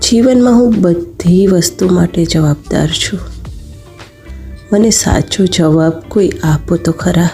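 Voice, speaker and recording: Background music accompanies the recording. Her pitch is fairly low for a woman. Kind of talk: poetry reading.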